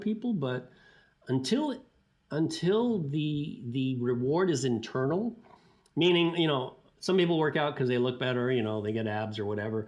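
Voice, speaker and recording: With a plain, everyday voice, a man at a fairly high pitch speaks at a moderate pace with lively intonation. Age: 60s. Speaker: sports scientist. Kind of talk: interview. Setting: podcast. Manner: casual, with frequent fillers and restarts.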